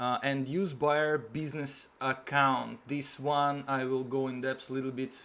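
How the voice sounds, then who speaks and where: A man talks in a fairly high pitch. He has a non-native accent. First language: not English. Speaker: online seller, YouTuber. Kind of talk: tutorial. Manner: halting, many fillers.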